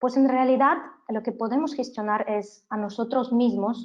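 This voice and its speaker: The speaker is a woman with a non-native accent. She talks at a fairly slow pace. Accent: foreign accent in Spanish. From Canada. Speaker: business trainer. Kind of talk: webinar lecture. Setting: online webinar.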